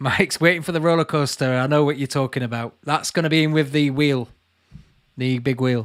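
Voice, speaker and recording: The speaker has a Lancashire accent and fairly even intonation. The pace is fairly quick. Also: man, fairly high pitch for a man. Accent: Burnley. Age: 30s. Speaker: YouTuber and urban explorer. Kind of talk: live Q&A chat reading viewer comments. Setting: livestream from home.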